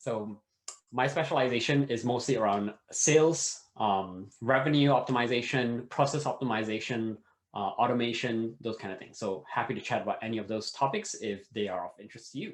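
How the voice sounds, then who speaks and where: Big swings in loudness mark a man's speech, delivered at a fairly quick pace with a medium pitch and ordinary pitch variation. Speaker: startup and sales consultant. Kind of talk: workshop presentation. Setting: online video session. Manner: fast.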